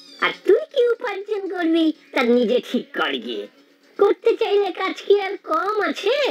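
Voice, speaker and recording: A woman speaks at a moderate pace in a cartoonish character voice. Music plays in the background. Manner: sarcastic, sneering.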